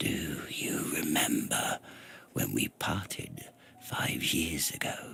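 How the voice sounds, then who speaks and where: A man whispers in a wheezy, put-on character voice. He speaks at a very slow pace. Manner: barely above a whisper.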